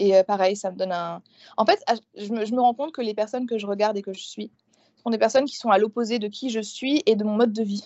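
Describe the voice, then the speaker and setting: A woman's fairly high voice at a very fast pace with ordinary pitch variation. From eastern France, rural village. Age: 20s. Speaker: booktuber and doctoral student. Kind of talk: casual interview chat.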